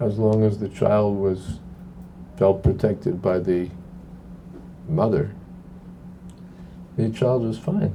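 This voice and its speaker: Audible room echo follows a man who speaks very slowly at a fairly low pitch. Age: 70s. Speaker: monk and spiritual teacher. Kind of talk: talk with Q&A. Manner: conversational, halting with repetitions.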